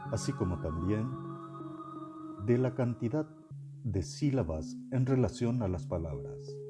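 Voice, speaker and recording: Music plays in the background as a man speaks at medium pitch and a fairly slow pace. His pitch swings very wide, with long, frequent pauses. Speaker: podcast narrator. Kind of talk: educational nonfiction reading.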